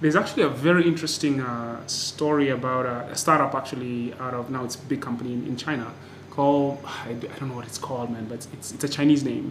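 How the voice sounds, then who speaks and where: A man talks at a very fast pace with medium pitch, hardly any pauses and big swings in loudness over noticeable background noise. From Kenya, Nairobi. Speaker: podcast host. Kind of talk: scripted intro; interview. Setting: noisy temporary recording location.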